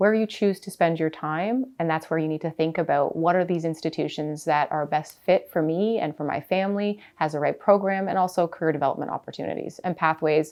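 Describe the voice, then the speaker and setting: A woman with a Canadian accent and an unremarkable speaking voice speaks at a moderate pace, with hardly any pauses, a fairly low pitch and ordinary pitch variation. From Canada. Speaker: college president. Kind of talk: interview.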